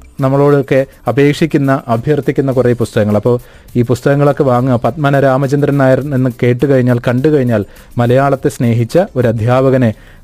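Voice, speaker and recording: With music in the background, a man at a medium pitch talks at a very even loudness. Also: fairly even intonation. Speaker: book reviewer. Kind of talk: book review talk. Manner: conversational.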